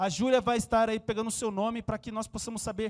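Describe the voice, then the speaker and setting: The speech comes very fast over a very clean recording with a silent background. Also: man. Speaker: pastor. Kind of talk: church announcements. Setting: church.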